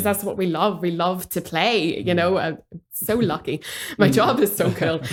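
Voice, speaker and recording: Speaking with a Northern Irish accent, a woman uses a medium pitch with ordinary pitch variation at a moderate pace. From Northern Ireland. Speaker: dramatherapist. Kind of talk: podcast interview answer.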